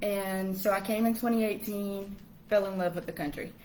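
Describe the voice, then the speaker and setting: In a Southern US accent, a woman with medium pitch speaks in a monotone, flat intonation, with audible room echo around her. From US South, Washington, Georgia. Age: 20s. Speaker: English teacher abroad. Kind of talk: casual interview chat. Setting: live stream.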